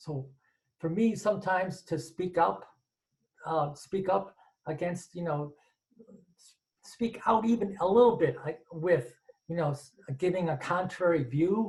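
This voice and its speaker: A man with a high voice speaks at a fairly slow pace, his loudness swinging widely and his pitch varying in an ordinary way, with long, frequent pauses. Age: 60s. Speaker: audience member asking a question. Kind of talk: Q&A question from audience. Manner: halting, many repetitions and false starts.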